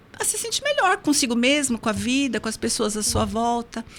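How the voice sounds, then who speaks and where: A woman's voice with very wide pitch swings, moving at a moderate pace. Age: 60s. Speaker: hypnotherapist. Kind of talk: interview.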